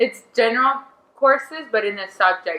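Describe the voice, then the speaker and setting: A woman speaks at a moderate pace in a Quebec accent. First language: French. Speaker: beach volleyball player. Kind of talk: casual chat. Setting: studio.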